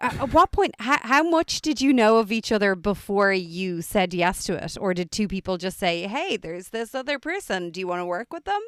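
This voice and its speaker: A woman talks at a medium pitch and a fairly quick pace, with hardly any pauses. Her pitch swings very widely, and the sound is dry and close with no echo. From Ireland. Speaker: podcast host. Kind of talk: interview.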